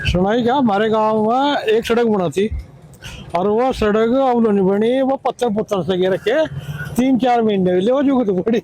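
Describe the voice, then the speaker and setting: This man has a high pitch and ordinary pitch variation, holding a very even loudness. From western Uttar Pradesh, India (village near Deoband). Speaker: villager. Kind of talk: street interview.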